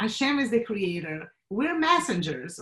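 A woman with a Portuguese accent talks at a fairly high pitch. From Brazil. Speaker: marketing professional and clothing designer. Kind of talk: interview.

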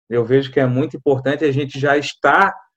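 Fairly even intonation marks a plain, everyday voice. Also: man. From Florianópolis, Santa Catarina, Brazil. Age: 30s. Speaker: assistant pastor. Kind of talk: podcast interview.

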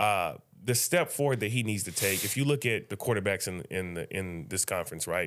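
With an American accent, a man speaks fairly quickly in an unremarkable speaking voice, fairly low in pitch and lively in intonation, on a very clean recording with a silent background. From Indiana (Muncie, Indianapolis). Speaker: sports journalist. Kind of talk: casual interview. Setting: studio.

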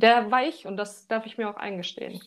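Her voice is fairly high for a woman and shows ordinary pitch variation. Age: 20s. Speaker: architect, coaching client. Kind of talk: casual interview, personal testimony. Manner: halting, many fillers.

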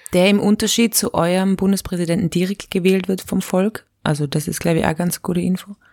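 A woman's unremarkable speaking voice at a medium pitch, fairly even in intonation with hardly any pauses, in a dry, close sound with no echo. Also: fairly quick pace. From Austria. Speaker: satirist and slam poet. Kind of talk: casual chat. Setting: remote call.

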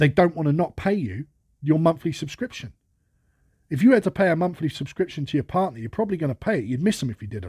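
A man's fairly high voice with a dark, mellow tone and vocal fry races at a very fast pace through very wide pitch swings, recorded very cleanly against a silent background with a dry, close sound and no echo. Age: 30s. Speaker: podcast host. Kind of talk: monologue. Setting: at workplace. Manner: casual.

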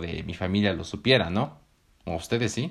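Speaking with a Mexican accent, a man uses an animated tone, a fairly low pitch with ordinary variation, and a moderate pace. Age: 20s. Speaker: podcast host. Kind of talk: scripted narration.

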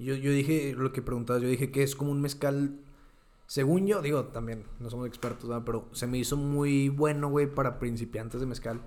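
Speaking at a fairly quick pace with a Mexican accent, a man keeps a medium pitch and fairly even intonation. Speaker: podcast co-host. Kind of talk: casual chat. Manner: soft-spoken.

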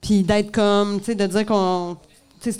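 A woman with a Quebec accent talks at a fairly quick pace in a medium pitch. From Montreal, Quebec. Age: 40s. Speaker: comedian. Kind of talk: live podcast interview. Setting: bar stage with audience.

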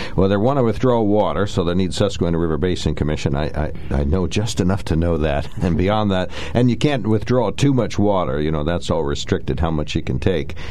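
A man talks at a fairly quick pace with a very deep, low pitch. He hardly pauses, and there is noticeable background noise. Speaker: radio talk show host. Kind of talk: radio call-in talk show. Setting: radio studio.

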